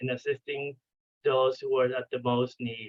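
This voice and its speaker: Speaking with a Spanish accent, a man uses a fairly high pitch and ordinary pitch variation. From Venezuela. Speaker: clinical psychologist. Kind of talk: training lecture. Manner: halting, with many fillers and restarts.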